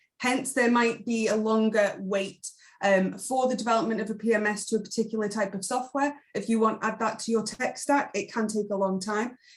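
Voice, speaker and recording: Fairly quick, somewhat breathy speech with fairly even intonation. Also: woman. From Isle of Man. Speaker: hotel tech sales specialist. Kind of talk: webinar presentation.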